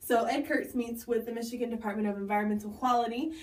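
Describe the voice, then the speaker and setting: Audible room echo surrounds a woman's fairly high voice. She speaks very fast. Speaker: video blogger. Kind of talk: casual explainer monologue. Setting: bathroom at home.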